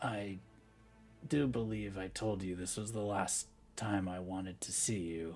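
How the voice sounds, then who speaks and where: Using a put-on character voice, a croaky man speaks at a fairly low pitch and moderate pace with ordinary pitch variation and long, frequent pauses, over clear background noise. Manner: croaking, weak.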